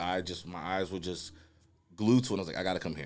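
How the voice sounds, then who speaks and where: In a very clean recording with a silent background, a man talks very fast at a very deep, low pitch. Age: 20s. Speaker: podcast co-host. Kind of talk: casual chat. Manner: animated.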